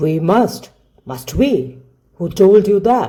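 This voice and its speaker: A put-on character voice at middle pitch, very slow, with very wide pitch swings. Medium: read story. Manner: terse, gruff.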